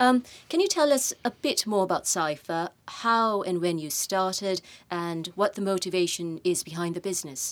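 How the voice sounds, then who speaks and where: Speaking at a moderate pace, a woman has a plain, everyday voice at medium pitch with ordinary pitch variation. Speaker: podcast host, managing director. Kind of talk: interview conversation. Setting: studio.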